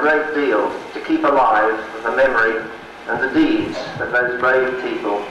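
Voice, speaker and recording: Someone talks at a moderate pace amid light background noise and audible room echo. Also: man. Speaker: symposium moderator. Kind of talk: formal introduction speech. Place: hall.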